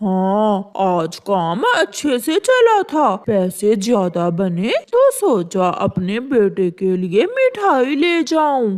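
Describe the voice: A female-sounding cartoonish character voice runs at a very slow pace with hardly any pauses. Its pitch is fairly high.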